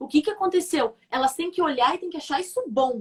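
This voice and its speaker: Lively intonation colors this woman's speech. She moves at a fairly quick pace. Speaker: communication coach, former TV presenter. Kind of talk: live stream interview. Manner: fast.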